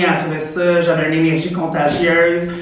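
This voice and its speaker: Audible room echo and noticeable background noise surround a woman speaking at a fairly low pitch and a fairly slow pace. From Quebec, Abitibi. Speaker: drag performer. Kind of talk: casual chat.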